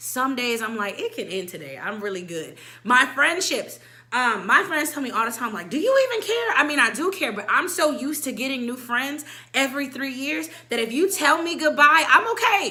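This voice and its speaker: In a room with audible echo, a woman uses a raised, projected voice with a bright, sharp tone, a high pitch and very wide pitch swings at a moderate pace. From military kid, moved between countries. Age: 20s. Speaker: vlogger. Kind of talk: casual chat.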